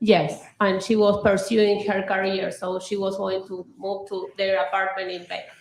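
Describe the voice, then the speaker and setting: A woman speaks at a moderate pace with a medium pitch and a flat, monotone delivery, over noticeable background noise and audible room echo. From Argentina, Buenos Aires. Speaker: trial witness. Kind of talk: witness testimony. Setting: courtroom.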